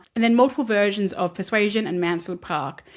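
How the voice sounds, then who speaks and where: A woman speaks with an Australian accent. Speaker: film and literature video essayist. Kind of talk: video essay commentary. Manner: conversational.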